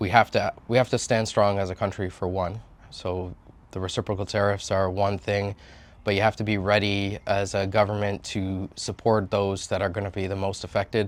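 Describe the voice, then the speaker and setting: In a very clean recording with a silent background, a man speaks with a Canadian accent in a monotone, flat intonation. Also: fairly low pitch for a man, moderate pace. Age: 40s. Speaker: political candidate. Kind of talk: interview answers. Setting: on location. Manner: casual, with frequent fillers.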